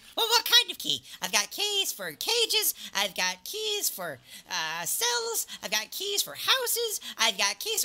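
Delivered at a fairly slow pace, the put-on character voice sits at a fairly high pitch. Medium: actual play. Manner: manic, rambling, eager; faintly smiling, chirpy shopkeeper greeting.

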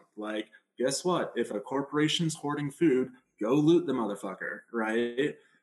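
Music plays in the background as a man speaks at a moderate pace. His pitch is fairly high, with ordinary pitch variation. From United States. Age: 20s. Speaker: aid organization co-founder. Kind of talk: casual interview. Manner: frequent fillers.

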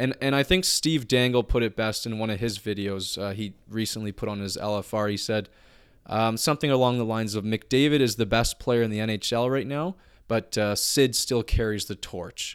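Set against a very clean recording with a silent background, an unremarkable speaking voice is heard. It keeps a moderate pace with ordinary pitch variation. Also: man. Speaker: podcast co-host. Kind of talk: angry rant, swearing and insulting a clickbait writer. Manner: furious, loud, exasperated, spitting out insults.

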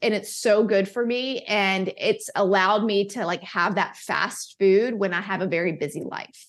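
A woman with an American accent and a plain, everyday voice speaks at medium pitch and a moderate pace, with fairly even intonation and hardly any pauses. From US South. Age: 40s. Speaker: wellness advocate and author. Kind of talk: interview.

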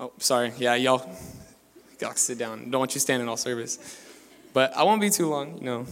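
The speaker is a man with a medium pitch. Noticeable background noise sits behind him. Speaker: young preacher, pastor's son. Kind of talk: sermon. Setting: church service. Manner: soft-spoken.

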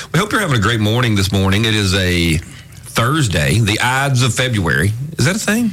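A man with an Alabama accent speaks at a fairly quick pace in a fairly low pitch, his intonation lively and his loudness very even, with audible room echo and noticeable background noise. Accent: Southern US (Alabama). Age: 50s. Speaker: radio talk show host. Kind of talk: talk radio chat.

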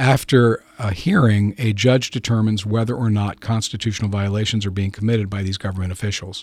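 In a normal speaking voice, a man talks at a fairly quick pace with fairly low pitch, fairly even intonation and hardly any pauses. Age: 60s. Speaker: lawyer. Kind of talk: interview discussion.

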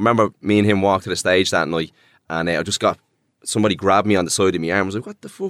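A man with an Irish accent at a very fast pace and fairly low pitch, fairly even in intonation, in a dry, close sound with no echo and a very clean recording over a silent background. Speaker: DJ and producer. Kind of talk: casual interview chat.

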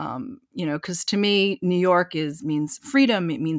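A woman with an ordinary speaking voice and an American accent talks at a moderate pace and a fairly low pitch, with lively intonation. The sound is dry and close with no echo, on a very clean recording with a silent background. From eastern Washington, US. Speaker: concert pianist and entrepreneur. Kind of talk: interview.

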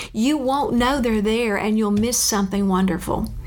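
Over noticeable background noise and audible room echo, a woman with a Southern US accent talks at a moderate pace in a fairly high pitch with ordinary pitch variation. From Louisiana. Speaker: retired school counselor. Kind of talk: interview.

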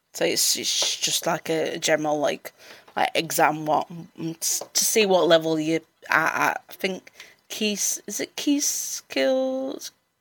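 In a Yorkshire accent, a woman speaks at a fairly low pitch and a very slow pace. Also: dry, close sound with no echo. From Sheffield, South Yorkshire. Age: 30s. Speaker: mental health support worker. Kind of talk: personal testimony in interview. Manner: halting, many repetitions and fillers.

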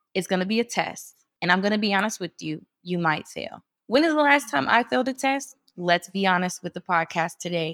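A woman speaks in a plain, everyday voice with an American accent, medium in pitch, with lively intonation at a fairly quick pace and hardly any pauses. The sound is dry and close with no echo, on a very clean recording with a silent background. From US Midwest. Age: 20s. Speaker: women's organization leader. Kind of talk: casual interview about faith and healing.

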